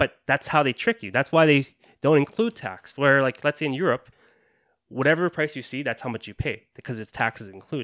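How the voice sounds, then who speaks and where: In a very clean recording with a silent background and a dry, close sound with no echo, a man with an ordinary speaking voice talks at a fairly quick pace and a fairly high pitch, with lively intonation and big swings in loudness. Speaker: podcast host. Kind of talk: casual chat.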